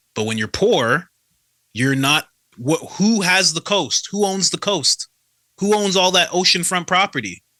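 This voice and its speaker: Very clean and dry, with a silent background and a close sound with no echo, the recording captures a man with a bright, sharp tone. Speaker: coach. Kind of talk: casual chat.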